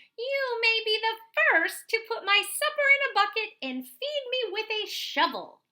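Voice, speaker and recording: A woman cackles in a put-on character voice that is squeaky and extremely high-pitched. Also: moderate pace. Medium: read story. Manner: bossy, crowing.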